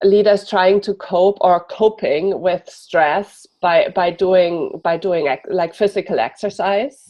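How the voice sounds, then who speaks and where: A woman with a German accent speaks at a very slow pace with hardly any pauses. Her pitch varies in an ordinary way. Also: medium pitch for a woman. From Germany. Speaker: executive coach. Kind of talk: interview.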